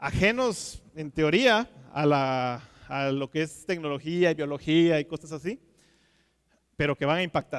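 In a quiet background, a man with a fairly high pitch talks very slowly. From Guatemala. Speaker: aquaculture technical manager; conference speaker. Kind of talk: conference talk. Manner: halting, many fillers and repetitions. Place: stage. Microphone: headset.

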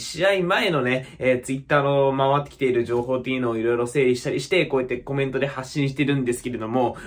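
A man is talking. His pace is very fast. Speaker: football fan vlogger. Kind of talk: casual vlog chat. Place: home room. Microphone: phone near.

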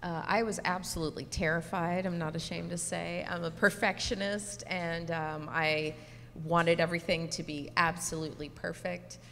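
A woman speaks at a moderate pace with fairly even intonation and light background noise. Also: fairly low pitch for a woman. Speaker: teleprompter operator and stage manager. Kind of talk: panel discussion. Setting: stage with audience. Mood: candid, reflective. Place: hall.

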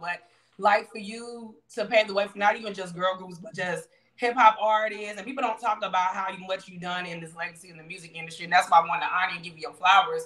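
A woman with an American accent talks at a very fast pace and a medium pitch, her loudness swinging widely. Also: quiet background. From Louisiana. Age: 30s. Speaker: online show host. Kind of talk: interview. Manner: animated. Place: home room. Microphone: video call.

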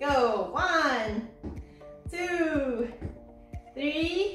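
A woman's raised, projected voice carries over faint background music and audible room echo. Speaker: physiotherapist instructor. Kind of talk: exercise class instruction. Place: home room. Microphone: camera far.

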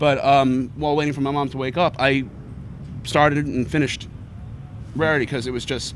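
A man talks at a fairly quick pace. The sound is dry with no echo, and there is light background noise. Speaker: guest. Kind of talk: interview answer. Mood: relaxed, laughing at times. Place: street. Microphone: handheld.

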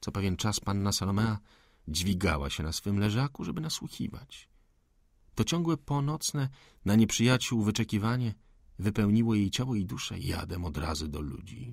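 An animated man speaks at a moderate pace, his fairly low pitch swinging very widely. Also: very clean recording, silent background. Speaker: audiobook narrator. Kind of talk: dramatic audiobook narration of a 19th-century novel, tense and hushed. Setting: studio.

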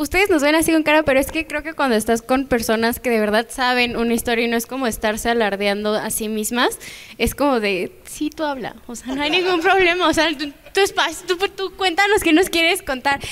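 With a Mexican accent, the speaker barely pauses while the pitch swings very widely. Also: woman, high pitch for a woman, fairly quick pace. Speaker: show co-host; show host. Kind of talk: casual interview. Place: studio. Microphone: handheld.

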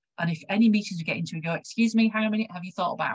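A somewhat breathy woman with a West Yorkshire accent, ordinary pitch variation, and a quiet background. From West Yorkshire, England; England. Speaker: health research involvement consultant; presenter. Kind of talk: conference presentation. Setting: video call. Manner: halting. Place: home room. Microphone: webcam.

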